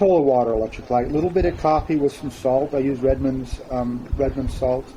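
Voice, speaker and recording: A man's medium-pitched voice at a fairly quick pace, with ordinary pitch variation and noticeable background noise. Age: 60s. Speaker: interview guest sharing weight loss story. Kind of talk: interview testimony.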